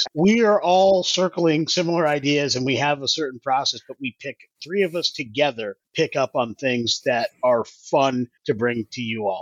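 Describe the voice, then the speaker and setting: Lively intonation from a man with an ordinary speaking voice and fairly high pitch, at a moderate pace with hardly any pauses. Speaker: podcast host. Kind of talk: casual chat about game rules.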